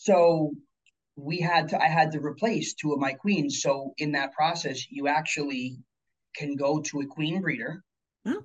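This man has an unremarkable speaking voice with a fairly high pitch and ordinary pitch variation. He talks at a moderate pace. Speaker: chef and beekeeper. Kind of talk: casual interview. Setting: video call.

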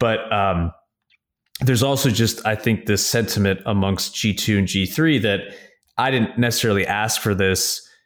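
An ordinary speaking voice from a man, fairly low in pitch with ordinary pitch variation and very even loudness, on a very clean recording with a silent background. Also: moderate pace. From upstate New York. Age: 30s. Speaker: investment firm founder. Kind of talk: interview.

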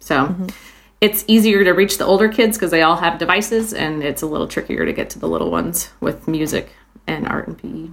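A woman with an American accent and an ordinary speaking voice, fairly low in pitch, with ordinary pitch variation, big swings in loudness and a fairly quick pace. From Iowa, US Midwest. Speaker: music teacher. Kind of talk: casual chat. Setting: video call.

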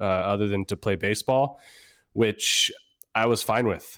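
A man with an unremarkable speaking voice, fairly low in pitch, with an American accent and a moderate pace. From Northern Virginia, US. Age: 30s. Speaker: flexibility coach. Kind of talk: casual interview. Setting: remote call.

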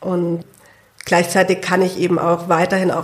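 A woman with a fairly low pitch talks at a moderate pace, her intonation monotone and flat. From Hunsrück, Rhineland-Palatinate. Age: 20s. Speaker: lung transplant patient and student. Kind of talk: interview. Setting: studio.

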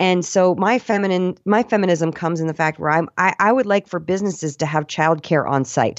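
With a plain, everyday voice, a woman speaks at a fairly quick pace and a fairly low pitch, showing ordinary pitch variation. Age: 40s. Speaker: voiceover artist and stand-up comic. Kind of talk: interview.

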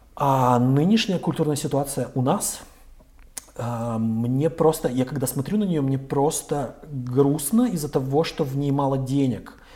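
A man with a plain, everyday voice, fairly high pitch, ordinary pitch variation and a fairly slow pace. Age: 40s. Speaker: chief editor of a news outlet. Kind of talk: interview.

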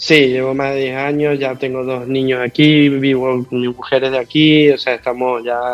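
With an Argentine accent and medium pitch, a man speaks at a moderate pace in a monotone, flat intonation with hardly any pauses while music plays in the background. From Argentina, Mendoza. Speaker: rugby coach. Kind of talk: interview.

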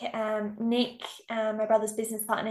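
This woman has a fairly high pitch. She talks at a fairly quick pace. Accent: Australian. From South Australia, Riverland. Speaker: accommodation business owner. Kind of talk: casual interview. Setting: video call. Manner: halting.

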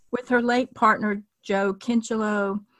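A woman with a normal speaking voice talks at a moderate pace in a fairly high pitch, her sound dry and close with no echo on a very clean recording over a silent background. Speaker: podcast host. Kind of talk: interview.

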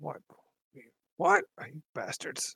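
Putting on a character voice, a man speaks in a raspy, high pitch. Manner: cranky, indignant, huffing.

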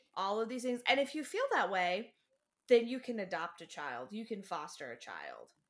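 With lively intonation, a woman speaks in a voice marked by vocal fry. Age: 20s. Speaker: podcast guest. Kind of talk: casual chat.

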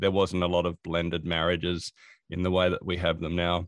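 A man with an Australian accent speaks in a very deep, low pitch. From Australia, Adelaide. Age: 40s. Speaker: productivity consultant and author. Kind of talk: interview. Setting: remote call.

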